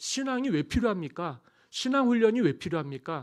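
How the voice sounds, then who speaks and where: On a very clean recording with a silent background, a man talks at a fairly quick pace, his high voice swinging very widely in pitch. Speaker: pastor. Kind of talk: sermon. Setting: church.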